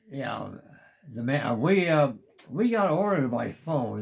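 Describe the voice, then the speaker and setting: Very slowly, a man speaks. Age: 80s+. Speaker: war veteran. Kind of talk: interview answer.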